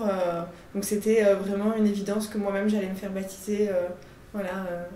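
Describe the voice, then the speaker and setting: Against noticeable background noise and audible room echo, a woman talks at a medium pitch. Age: 30s. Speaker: catechumen preparing for baptism. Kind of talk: interview testimony. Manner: hesitant, many fillers.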